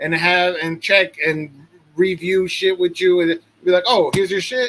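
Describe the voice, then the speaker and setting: High-pitched male speech. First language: not English. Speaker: podcast co-host. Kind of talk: casual chat.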